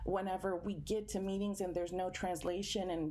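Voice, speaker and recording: Very fast, monotone speech with flat intonation comes through noticeable background noise. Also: woman. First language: Spanish. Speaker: environmental justice activist. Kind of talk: panel discussion.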